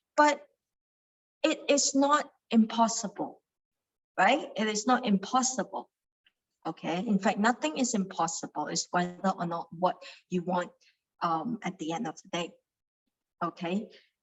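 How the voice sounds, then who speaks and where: A woman's somewhat breathy voice with a Cantonese accent, medium pitch and lively intonation, at a fairly slow pace with long, frequent pauses. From Malaysia, Kuala Lumpur. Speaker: meditation study group leader. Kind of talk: teaching talk. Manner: halting, many fillers.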